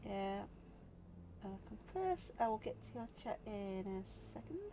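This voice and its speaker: A woman talks fairly slowly, with noticeable background noise in the recording. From northern England, Yorkshire. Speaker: game streamer. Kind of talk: casual live-stream chat while gaming.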